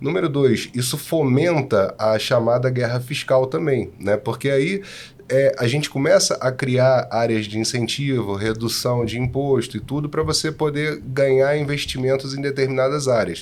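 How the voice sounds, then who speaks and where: Speech with a Rio de Janeiro accent, at a moderate pace, with ordinary pitch variation and hardly any pauses. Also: man, medium pitch for a man. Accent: carioca (Rio de Janeiro). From Rio de Janeiro, Brazil. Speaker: tax consultant. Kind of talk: podcast discussion.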